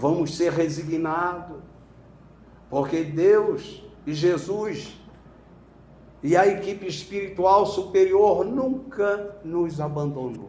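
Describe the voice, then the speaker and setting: A man speaks at a very slow pace in a high voice, with ordinary pitch variation. His pauses are long and frequent. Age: 70s. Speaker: spiritist lecturer. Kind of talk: sermon. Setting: spiritist center lecture with audience.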